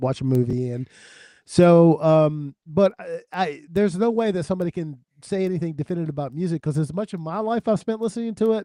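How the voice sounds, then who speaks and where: Here a man speaks at a fairly quick pace in a dark, mellow tone with ordinary pitch variation. The sound is dry and close, with no echo. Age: 60s. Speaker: music podcast panelist and record seller. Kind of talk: casual chat.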